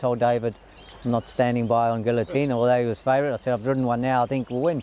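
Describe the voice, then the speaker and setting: Over noticeable background noise, a man speaks at medium pitch. His intonation stays monotone and flat. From South Africa. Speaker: jockey. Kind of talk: interview answer.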